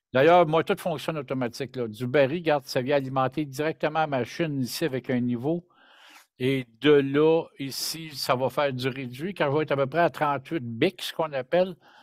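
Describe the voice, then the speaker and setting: A man with a Quebec accent speaks in a fairly high pitch with fairly even intonation. The recording is very clean with a silent background and a dry, close sound with no echo. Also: moderate pace. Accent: Québécois French. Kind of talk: casual chat.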